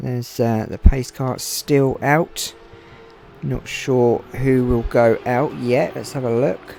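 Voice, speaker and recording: Quiet and very slow, a man at medium pitch speaks with ordinary pitch variation and big swings in loudness. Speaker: gaming streamer, race commentator. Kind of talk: live commentary.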